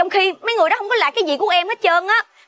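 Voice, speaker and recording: A woman's voice with a bright, sharp tone comes through as a dry sound with no echo. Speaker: drama actress. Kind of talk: scripted drama dialogue. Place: street.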